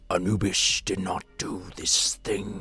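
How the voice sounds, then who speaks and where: A man puts on a raspy character voice at a fairly low pitch. He speaks at a fairly slow pace. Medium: read story. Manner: refers to himself in third person.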